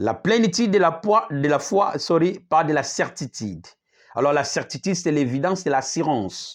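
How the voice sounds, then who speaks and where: Against a quiet background, a man with a plain, everyday voice and a fairly high pitch speaks at a moderate pace with lively intonation. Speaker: apostle preacher. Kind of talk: sermon.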